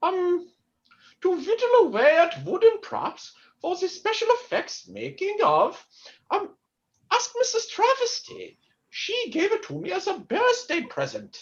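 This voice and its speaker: A woman's put-on character voice at an extremely high pitch, lively in intonation and fairly slow in pace. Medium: stage play.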